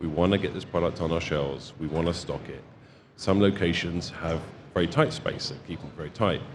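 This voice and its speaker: Audible room echo surrounds a man's very deep, low voice, which holds fairly even intonation. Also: fairly quick pace. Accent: Home Counties. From England, home counties (Kings Langley). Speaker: solar distribution branch manager. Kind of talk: casual interview. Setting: expo floor.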